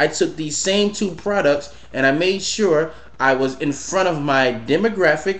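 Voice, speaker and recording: His pitch is fairly high and varies in an ordinary way, and this man has a normal speaking voice. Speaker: entrepreneur and business coach. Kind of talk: casual vlog monologue.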